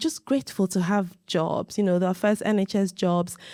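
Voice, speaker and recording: A woman's unremarkable speaking voice at medium pitch and moderate pace, dry and close with no echo on a very clean recording with a silent background. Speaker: doctor and interviewer. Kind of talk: casual interview talk.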